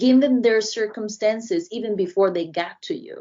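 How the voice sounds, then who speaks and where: At a moderate pace, a woman speaks with a Brazilian accent and ordinary pitch variation. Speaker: diversity and inclusion consultant. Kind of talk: podcast interview.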